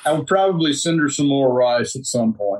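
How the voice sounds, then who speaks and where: At a moderate pace, a speaker with a Mississippi accent uses ordinary pitch variation. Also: man. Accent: Mississippi Southern US. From US South, Mississippi. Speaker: agricultural association director. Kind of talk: casual chat.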